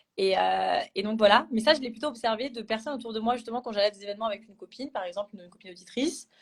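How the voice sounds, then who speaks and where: This woman's pitch is fairly high. She talks at a very fast pace. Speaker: chartered accountant trainee. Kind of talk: live stream panel discussion. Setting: Instagram live video call. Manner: loud; hesitant with many fillers.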